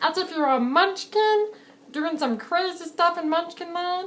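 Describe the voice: A woman puts on a character voice at an extremely high pitch. She moves at a moderate pace with ordinary pitch variation.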